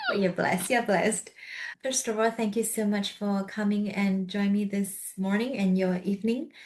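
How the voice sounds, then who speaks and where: A soft-spoken woman talks with fairly even intonation and very even loudness. Noticeable background noise runs underneath. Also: medium pitch for a woman, moderate pace. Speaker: podcast host. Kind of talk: interview conversation. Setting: video call.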